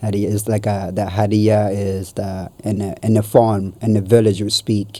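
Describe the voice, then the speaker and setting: In an Ethiopian accent, a man speaks at a moderate pace with a fairly low pitch and monotone, flat intonation. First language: Amharic. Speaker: guest sharing life story. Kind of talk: casual interview. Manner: halting.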